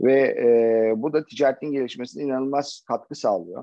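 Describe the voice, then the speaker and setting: A man's voice with a fairly high pitch. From Turkey, Çanakkale. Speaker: logistics manager. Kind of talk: interview. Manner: halting, many fillers.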